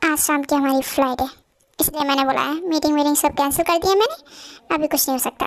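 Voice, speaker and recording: Using a put-on character voice, a woman rattles along at a very fast pace with high pitch. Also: fairly even intonation. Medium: audio drama. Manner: brisk, decisive.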